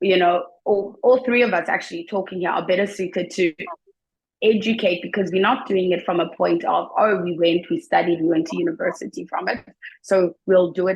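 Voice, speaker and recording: In a South African accent, a woman speaks at a medium pitch and a moderate pace with fairly even intonation. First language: Xhosa and Zulu. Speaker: teacher. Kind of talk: interview.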